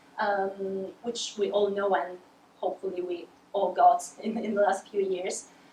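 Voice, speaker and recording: Noticeable background noise accompanies a woman speaking at a moderate pace. Her pitch is medium. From Sicily, Italy. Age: 20s. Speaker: PhD student researcher. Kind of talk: award acceptance presentation. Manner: halting. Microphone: too far from the mic.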